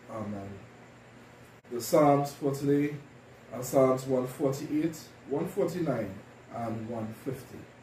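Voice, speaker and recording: A man speaks at a very slow pace with long, frequent pauses, ordinary pitch variation and big swings in loudness. His voice is dark, mellow and somewhat breathy, with light background noise and audible room echo. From Trinidad and Tobago. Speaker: deacon leading worship. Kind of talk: liturgy and sermon. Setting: church. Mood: calm, solemn. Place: home room.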